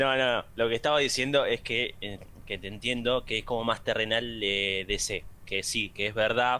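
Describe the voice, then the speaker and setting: In a Rioplatense accent, a man speaks at a moderate pace and medium pitch, with a bright, sharp tone and fairly even intonation. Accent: Argentine Rioplatense Spanish. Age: young. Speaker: podcast host. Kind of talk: casual chat.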